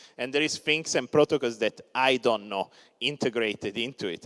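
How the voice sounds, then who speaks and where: A man with an Italian accent talks at a moderate pace, medium in pitch with ordinary pitch variation. The sound is dry and close, with no echo. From Italy. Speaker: crypto startup founder. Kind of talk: conference talk. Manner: many filler words (uh).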